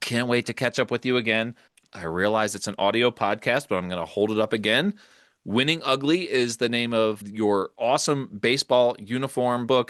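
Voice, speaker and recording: A man with an American accent speaks at medium pitch and a moderate pace with ordinary pitch variation in a plain, everyday voice, recorded dry and close with no echo against a quiet background. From Philadelphia area. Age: 50s. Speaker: podcast host. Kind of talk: casual chat. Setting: home studio, basement.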